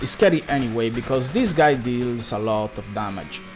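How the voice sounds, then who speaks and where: A man speaks with an Italian accent while music plays in the background. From Italy. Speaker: video game speedrunner. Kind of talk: live gameplay commentary.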